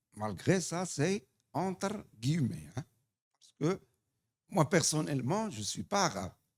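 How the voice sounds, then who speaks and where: A man with a North African accent and a fairly high pitch, very slow pace with long, frequent pauses, very wide pitch swings, vocal fry and big swings in loudness. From Morocco. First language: Tamazight (speaking French). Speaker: human rights association representative. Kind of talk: audience question at conference. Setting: conference hall.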